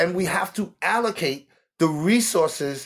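On a very clean recording with a silent background, a man with a New York accent speaks at a fairly slow pace in a high pitch with lively intonation. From New York City, the Bronx. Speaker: homeless advocate. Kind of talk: interview.

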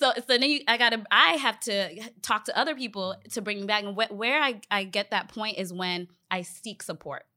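With an unremarkable speaking voice, a woman talks at a moderate pace with a fairly high pitch, ordinary pitch variation, and hardly any pauses. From Northern Virginia, US (born in Ghana). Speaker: leadership development professional, event organizer. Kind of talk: casual group conversation.

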